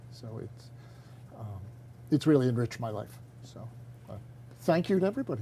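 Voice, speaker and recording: The voice is dark, mellow and somewhat breathy, moving at a fairly quick pace with lively intonation. Long, frequent pauses break it up, and the loudness swings widely. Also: man, medium pitch for a man. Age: 70s. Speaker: retiring teacher. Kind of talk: interview. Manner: halting.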